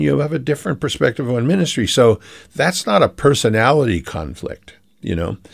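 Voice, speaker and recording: An American-accented man speaks at a fairly quick pace in a medium pitch, with vocal fry and very wide pitch swings. The recording is very clean and the background silent. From Philadelphia, US. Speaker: pastor. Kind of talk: interview. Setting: radio show.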